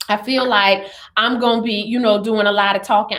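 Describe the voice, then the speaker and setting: An animated woman's raised, projected voice over noticeable background noise. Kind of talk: devotional livestream talk. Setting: live stream with comments.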